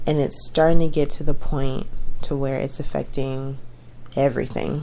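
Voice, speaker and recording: A woman speaks at a moderate pace in a very deep, low pitch. Her intonation is monotone and flat, with audible room echo around her. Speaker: podcaster. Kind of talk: personal monologue. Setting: home, late at night. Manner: occasional stumbling.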